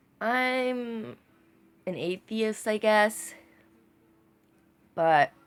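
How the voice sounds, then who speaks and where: Lively intonation from a woman with an American accent, on a very clean recording with a silent background. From United States. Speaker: vlogger. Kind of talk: casual video monologue. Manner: halting, hesitant; enunciating carefully.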